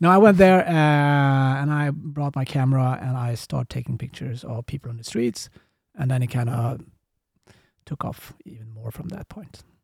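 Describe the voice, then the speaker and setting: A man's somewhat breathy, medium-pitched voice at a moderate pace, with ordinary pitch variation and big swings in loudness. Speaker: agency CEO and street photographer. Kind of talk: casual chat.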